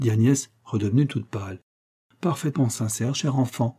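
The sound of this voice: This is an unforced reading voice with ordinary pitch variation. The background is quiet.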